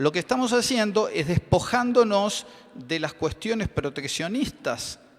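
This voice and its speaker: A high-pitched man at a fairly slow pace, with very wide pitch swings. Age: 60s. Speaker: chemist and business owner. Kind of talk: conference panel talk. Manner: hesitant, many fillers.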